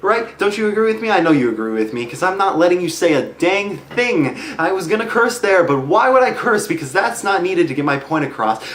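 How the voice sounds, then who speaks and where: A man's high voice with very wide pitch swings, a fairly quick pace and hardly any pauses, in a room with audible echo and noticeable background noise. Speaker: vlogger. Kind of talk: comedic monologue vlog. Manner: fast, few pauses.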